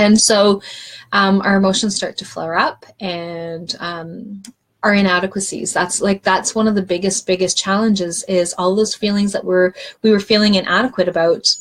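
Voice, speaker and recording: At a moderate pace, a woman speaks in a medium pitch that is somewhat breathy, with fairly even intonation. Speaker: wellness coach. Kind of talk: live stream talk. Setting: live video stream.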